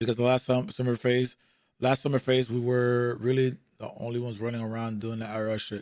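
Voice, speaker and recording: A man with an American accent talks at a very fast pace in a medium pitch. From South Florida. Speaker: livestreamer. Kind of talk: reaction stream commentary. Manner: animated.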